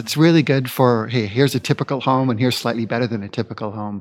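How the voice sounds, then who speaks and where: A man talks at a very fast pace. His pitch sits in the medium range and moves with ordinary variation. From Vancouver, Canada. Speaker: city sustainability officer. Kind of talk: live interview at a conference. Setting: conference venue, recorded live.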